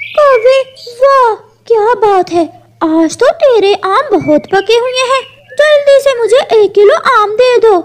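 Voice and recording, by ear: This cartoonish character voice has an extremely high pitch and moves at a fairly slow pace.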